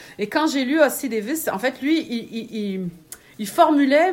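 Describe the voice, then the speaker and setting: A woman talks with lively intonation in a Quebec accent. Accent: Québécois French. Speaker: writer and magazine editor. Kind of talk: casual interview. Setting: at home, in a small smoking room.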